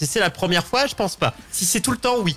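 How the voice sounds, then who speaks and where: A man's high-pitched voice with music in the background. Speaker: gaming show host. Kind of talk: casual chat. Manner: fast.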